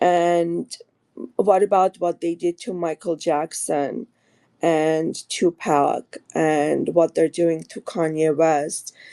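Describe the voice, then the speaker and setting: In an Armenian accent, the speaker talks at a very slow pace with a dark, mellow tone and fairly even intonation, the sound dry and close with no echo. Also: woman, fairly low pitch for a woman. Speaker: caller. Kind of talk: call-in question. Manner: hesitant, many fillers.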